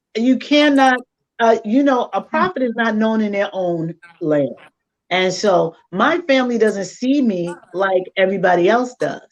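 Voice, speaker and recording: She sounds animated, and her intonation is lively. The woman's voice is fairly high, and she speaks at a fairly slow pace. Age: 60s. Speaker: life coach and mother. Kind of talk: casual chat.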